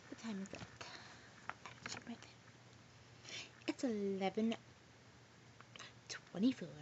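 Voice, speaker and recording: A woman whispers slowly, fairly so, with long, frequent pauses and big swings in loudness, while noticeable noise runs in the background. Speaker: vlogger. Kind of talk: casual vlog storytelling. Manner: rambling casual, many fillers.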